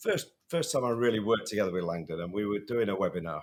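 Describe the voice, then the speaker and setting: In a northern English accent, a man speaks at a very fast pace. His pitch is medium and his intonation is lively. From northern England. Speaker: safety podcast co-host. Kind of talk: casual podcast chat. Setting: in person at a conference in Chicago.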